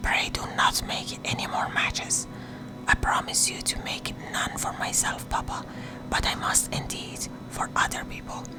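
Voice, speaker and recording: Whispering at a fairly slow pace, a woman speaks over noticeable background noise. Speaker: narrator. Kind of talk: audiobook reading, sleep story. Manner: whispered.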